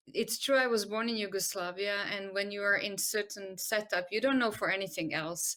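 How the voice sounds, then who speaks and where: Bright, sharp tone from a woman at medium pitch, moderate pace, very clean recording with a silent background. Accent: Croatian. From Croatia. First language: Croatian. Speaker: medical doctor and arts-in-health expert. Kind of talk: interview. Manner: hesitant, many fillers.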